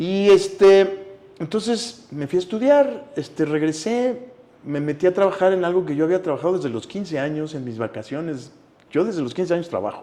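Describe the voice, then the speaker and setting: Background noise is noticeable behind a man speaking in a Mexican accent. His high pitch swings very widely. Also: moderate pace. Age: 60s. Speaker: actor. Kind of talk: interview conversation.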